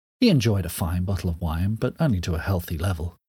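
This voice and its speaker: At a moderate pace, a man speaks in a dramatic tone that is somewhat breathy, on a very clean recording with a silent background. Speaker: author reading a story. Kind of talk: dramatic narration, reading aloud. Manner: dramatic, expressive, measured storytelling pace.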